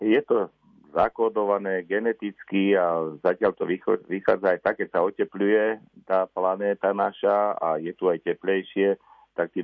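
This man's fairly low voice stays monotone, his intonation flat. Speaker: ornithologist. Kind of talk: radio interview. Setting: phone call. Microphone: phone line.

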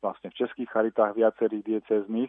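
A man's monotone voice with flat intonation. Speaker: charity director. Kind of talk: interview. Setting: phone call. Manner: halting.

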